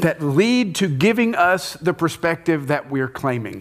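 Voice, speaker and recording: An animated man with a high voice and an American accent speaks at a moderate pace, his intonation lively. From United States. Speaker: church leader leading panel. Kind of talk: panel discussion in church. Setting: stage with live audience.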